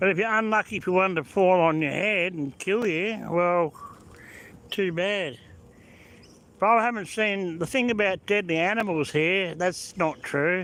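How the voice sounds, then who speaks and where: A high-pitched man with an Australian accent, at a fairly slow pace and with ordinary pitch variation. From Australia (born Melbourne, moved to South Australia 1977). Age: 60s. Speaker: vlogger. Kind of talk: live-stream commentary. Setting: in a car. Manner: casual, rambling.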